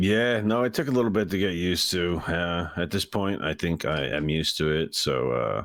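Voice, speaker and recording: With vocal fry and a very deep, low pitch, a man speaks at a moderate pace, his intonation lively and his loudness very even. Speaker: esports coach. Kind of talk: interview. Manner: hesitant, many fillers.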